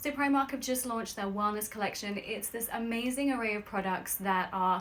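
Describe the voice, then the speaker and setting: A woman speaks with an English accent at a moderate pace. Her pitch is fairly high, with ordinary pitch variation. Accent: English accent noticeable. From London, England. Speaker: nutritionist and sleep expert. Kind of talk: sponsored live stream chat. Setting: live video stream from home bedroom. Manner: upbeat, chatty.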